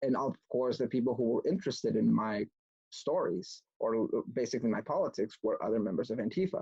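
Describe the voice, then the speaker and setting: A man with a Spanish accent speaks at a fairly quick pace. The sound is dry and close, with no echo. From Mexico (Mexico City area), moved to US at about nine. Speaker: political activist speaker, former antifa member. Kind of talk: online talk presentation.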